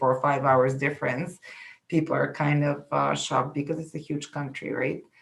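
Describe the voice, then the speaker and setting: The voice has a Bulgarian accent, vocal fry, and monotone, flat intonation. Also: woman. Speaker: immigration consultant. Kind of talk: interview. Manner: halting.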